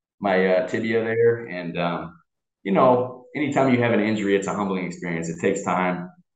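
A man with an American accent talks at a fairly quick pace in a fairly low pitch, with ordinary pitch variation and audible room echo. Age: 20s. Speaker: American football player. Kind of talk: casual chat.

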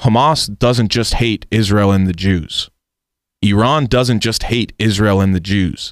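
In a very clean recording with a silent background, a man with an American accent and an ordinary speaking voice talks at a fairly slow pace and a fairly low pitch, with ordinary pitch variation and very even loudness. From United States. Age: 20s. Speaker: radio producer. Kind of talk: casual interview.

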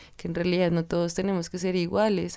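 Recorded very cleanly against a silent background, a woman speaks with a fairly low pitch and a dark, mellow tone. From Colombia, Tunja (Boyacá). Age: 20s. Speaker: dance student. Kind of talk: interview.

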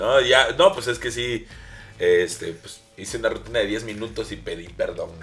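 With music in the background, the talking proceeds at a moderate pace. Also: man. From Veracruz, Mexico. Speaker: comedian. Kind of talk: casual chat.

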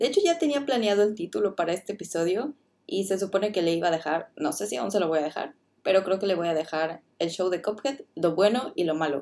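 A woman talks very fast at a medium pitch, her dark, mellow tone carried by lively intonation. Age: 20s. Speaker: podcast host, student. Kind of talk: casual review monologue.

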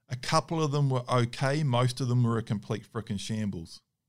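A man with a New Zealand accent speaks at a fairly slow pace in a medium pitch, on a very clean recording with a silent background. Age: 30s. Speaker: hunting dog trainer. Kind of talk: Q&A monologue. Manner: casual, with hesitations.

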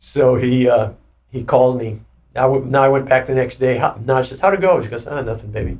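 A man talks at a fairly quick pace in a somewhat breathy voice at medium pitch, with fairly even intonation. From Germany; Hawaii. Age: 70s. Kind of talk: casual interview, life story. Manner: relaxed, rambling, candid.

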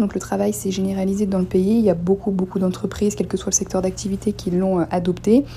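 Noticeable background noise surrounds the recording. A woman speaks at a fairly quick pace. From Normandy, Seine-Maritime. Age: 20s. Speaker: human resources worker. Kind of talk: interview questions. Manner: formal.

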